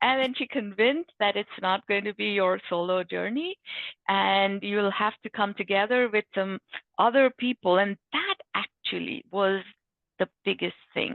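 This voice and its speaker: Speaking in a Bengali accent, a woman of medium pitch keeps a moderate pace with ordinary pitch variation. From India. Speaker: book author, IT manager. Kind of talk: panel talk, personal story.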